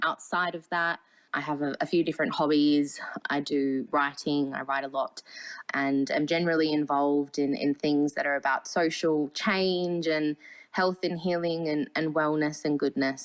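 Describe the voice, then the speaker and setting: Talking at a moderate pace, a woman with an Australian accent has a very deep, low pitch and fairly even intonation. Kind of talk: panel discussion.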